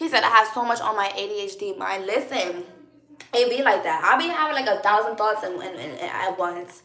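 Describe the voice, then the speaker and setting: Lively intonation from a woman pitched fairly high, with room echo clearly audible. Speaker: live streamer. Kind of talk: live stream chat with viewers. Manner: loud, energetic.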